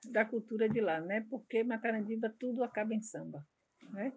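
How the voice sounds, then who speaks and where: This woman speaks with ordinary pitch variation and a somewhat breathy quality. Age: 60s. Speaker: samba de roda group coordinator. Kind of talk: interview.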